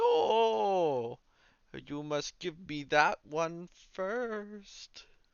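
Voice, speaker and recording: A man uses a put-on character voice at a high pitch with lively intonation. His pace is very slow. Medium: actual play. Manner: theatrical, cryptic.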